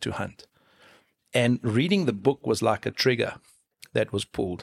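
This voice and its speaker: Speaking at a moderate pace with a South African accent, the voice sounds dry and close, with no echo. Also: man. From South Africa, Free State. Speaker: falconer. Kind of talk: casual interview.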